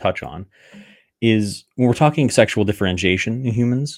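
A man speaks at a medium pitch on a very clean recording with a silent background. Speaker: podcast host. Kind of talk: solo talk on gender vocabulary, live-streamed. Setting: live stream, video. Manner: fast talker.

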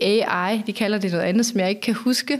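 Here is a woman with an unremarkable speaking voice and fairly high pitch. She keeps a moderate pace with ordinary pitch variation. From Denmark, northern Funen. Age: 40s. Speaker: sustainability strategist. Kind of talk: podcast interview. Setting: office.

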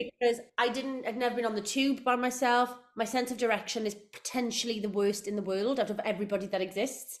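A woman with a South Wales accent talks at a very fast pace. She leaves hardly any pauses. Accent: Welsh (South Wales). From South Wales, Port Talbot. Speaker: musical theatre actress. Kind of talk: casual interview chat. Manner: animated.

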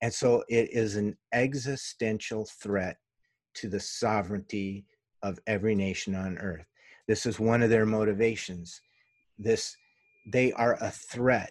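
Against a quiet background, a man with a fairly low pitch speaks at a fairly slow pace with fairly even intonation. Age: 50s. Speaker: UFO investigator. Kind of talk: interview. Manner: halting.

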